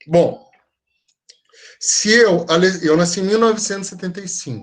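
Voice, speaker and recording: A man speaks at a high pitch with ordinary pitch variation. He keeps a moderate pace, with big swings in loudness. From Brazil, mostly São Paulo. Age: 40s. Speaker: teacher. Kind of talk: online lecture. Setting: video call.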